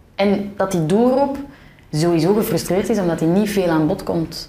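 Lively intonation from a woman, with audible room echo. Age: 20s. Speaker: podcaster. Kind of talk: casual interview conversation.

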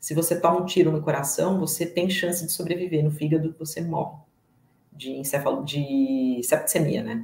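A woman speaks in a very deep, low, somewhat breathy voice with a dark, mellow tone. Her intonation stays fairly even at a moderate pace. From São Paulo state, Brazil. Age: 40s. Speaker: guest, agile professional. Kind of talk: personal testimony. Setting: live stream.

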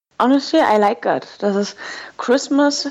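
A woman speaks with a German accent. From Germany. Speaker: language school director. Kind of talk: interview.

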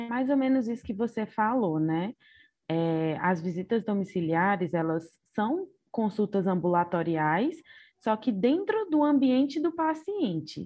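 Pitch swinging very widely, a woman speaks fairly slowly in a fairly high voice. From Ceará, Brazil. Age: 20s. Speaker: doctor. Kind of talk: casual interview.

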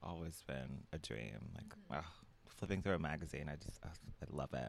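A man's very deep, low pitch with vocal fry. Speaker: guest, friend of host, fashion stylist. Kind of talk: casual chat. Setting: home, sitting on the floor.

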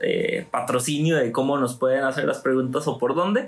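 Noticeable background noise runs behind this recording. A man talks at a moderate pace with ordinary pitch variation. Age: 20s. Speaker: youth group leader. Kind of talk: casual chat.

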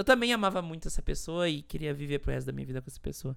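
Very wide pitch swings from a woman, very clean recording, silent background. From Rio Grande do Sul, Brazil. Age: 20s. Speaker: podcast host. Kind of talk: personal testimony monologue.

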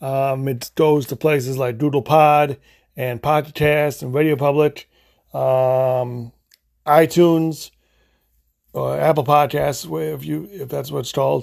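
Over a very clean recording with a silent background, a man speaks at a fairly high pitch and a fairly slow pace. He leaves long, frequent pauses, and his pitch varies in an ordinary way. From US Midwest (Illinois). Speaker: podcast host. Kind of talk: casual solo podcast monologue. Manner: halting, many fillers and restarts; unscripted, off the cuff.

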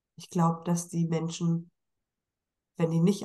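This woman's voice sits fairly low in pitch. It comes across as somewhat breathy. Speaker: podcast host. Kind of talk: casual interview.

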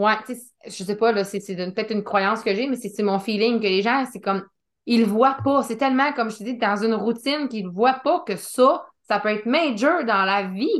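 A woman speaks with a Quebec accent at a moderate pace, her fairly high pitch showing ordinary variation over a quiet background. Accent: Québécois French. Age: 30s. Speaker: podcast host. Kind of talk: casual interview chat.

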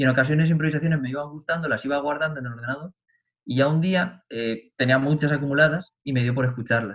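With a normal speaking voice, this man's fairly high pitch shows ordinary variation. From Spain, Albacete province. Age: 20s. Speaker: pianist and composer. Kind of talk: casual interview chat.

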